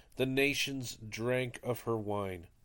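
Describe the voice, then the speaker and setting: On a very clean recording with a silent background, a man at medium pitch speaks with ordinary pitch variation. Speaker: podcast host leading daily prayer. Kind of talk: reading aloud and liturgical prayer. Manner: solemn, reverent.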